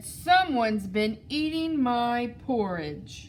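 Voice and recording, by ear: A female-sounding put-on character voice pitched high for a woman moves at a very slow pace. Clear background noise is present.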